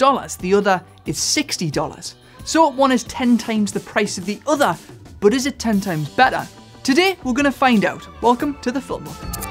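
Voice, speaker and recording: A man's extremely high voice at a moderate pace, with faint music in the background. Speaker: gear review host. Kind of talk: tutorial. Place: studio. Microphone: studio mic.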